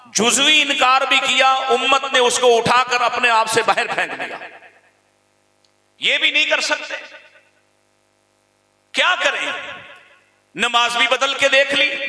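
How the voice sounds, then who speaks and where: A raised, projected voice in a passionate tone. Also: man. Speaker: Islamic preacher. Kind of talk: Islamic sermon delivered to a gathering. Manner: passionate, rhetorical.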